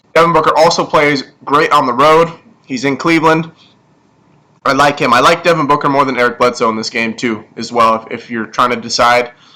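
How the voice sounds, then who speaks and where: This man speaks fairly quickly at a fairly high pitch. His tone is bright and sharp, with ordinary pitch variation. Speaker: fantasy sports analyst. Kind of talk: casual livestream analysis. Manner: fast.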